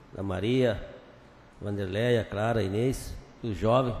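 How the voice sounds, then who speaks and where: This man speaks at a fairly slow pace with fairly even intonation and a medium pitch, and there is audible room echo. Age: 60s. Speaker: city councillor. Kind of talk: council session remarks.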